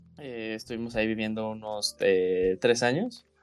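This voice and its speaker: A man talks in a fairly low pitch with a Mexican accent. The background is quiet. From Mexico. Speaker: podcast co-host. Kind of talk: casual chat.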